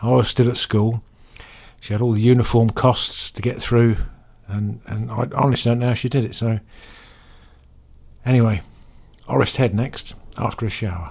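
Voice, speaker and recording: A man with an English accent talks at a moderate pace with long, frequent pauses. His pitch is medium, with ordinary variation. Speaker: travel vlogger. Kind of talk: casual vlog narration. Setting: outdoors.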